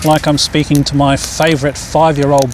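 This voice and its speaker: A man speaks with an Australian accent and a fairly high pitch. Background noise is noticeable. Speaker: animal whispering coach. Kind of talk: casual tutorial outdoors with birds. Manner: soft, caring tone.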